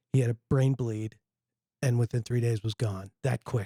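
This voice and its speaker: A man's somewhat breathy voice at medium pitch, dark and mellow in tone, with fairly even intonation, a fairly quick pace and a dry, close sound with no echo. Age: 60s. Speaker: podcast host. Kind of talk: casual chat.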